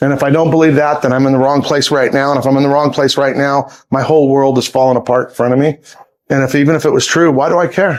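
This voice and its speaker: This man talks at a very fast pace and a fairly high pitch. His intonation is monotone and flat, with very even loudness. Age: 60s. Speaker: reptile zoo owner. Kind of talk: casual interview. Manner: halting, repetitive starts.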